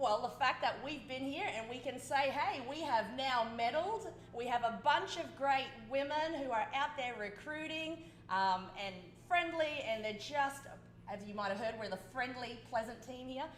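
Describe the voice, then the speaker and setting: A woman with an Australian accent talks at a moderate pace with a high pitch and lively intonation, with audible room echo. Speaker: dragon boat coach. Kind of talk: interview.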